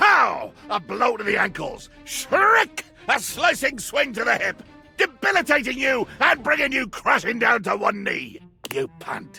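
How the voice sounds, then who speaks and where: Over faint music in the background, a man uses a put-on character voice at a fairly slow pace. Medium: game stream. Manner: bombastic, theatrical, grandiloquent.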